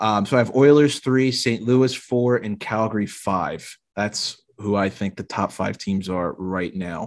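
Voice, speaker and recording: In an unremarkable speaking voice, a man talks at a fairly slow pace with hardly any pauses and ordinary pitch variation, against a quiet background. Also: fairly low pitch for a man. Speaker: podcast host. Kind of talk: casual sports podcast chat. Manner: casual, joking.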